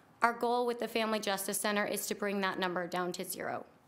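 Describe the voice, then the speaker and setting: A woman talks at a fairly high pitch and a fairly quick pace. Her intonation stays fairly even. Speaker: executive director of a victim services center. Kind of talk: public comment at government meeting. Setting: county board meeting chamber. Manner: fast.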